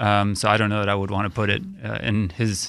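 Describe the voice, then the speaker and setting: A man speaks in an unremarkable speaking voice with fairly low pitch. The recording is very clean, silent background. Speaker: brewery co-founder. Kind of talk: casual radio interview. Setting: studio.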